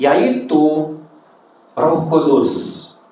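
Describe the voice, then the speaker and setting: There is audible room echo around this man as he speaks. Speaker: preacher. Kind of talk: sermon. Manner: halting, self-correcting.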